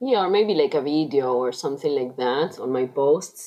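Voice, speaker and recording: A woman speaks in a Spanish accent with a very deep, low pitch. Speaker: coaching client. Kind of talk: coaching conversation. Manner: halting.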